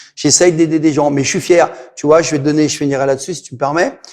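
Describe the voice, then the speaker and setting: A man with a fairly high pitch, talking at a fairly quick pace. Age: 60s. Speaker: martial arts instructor. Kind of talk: interview. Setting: martial arts gym. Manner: animated.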